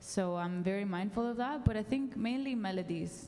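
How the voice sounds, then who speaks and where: A woman with a Spanish accent speaks with ordinary pitch variation in audible room echo. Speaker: songwriter. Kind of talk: panel discussion.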